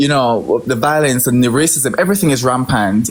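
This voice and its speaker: Over noticeable background noise, a man with a Jamaican accent speaks in a fairly high pitch with ordinary pitch variation. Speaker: livestream participant. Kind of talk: heated debate.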